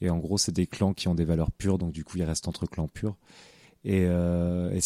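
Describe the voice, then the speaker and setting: A man's dark, mellow tone comes through with a dry, close sound and no echo. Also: very clean recording, silent background. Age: 20s. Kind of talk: interview. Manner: halting, many repetitions and fillers.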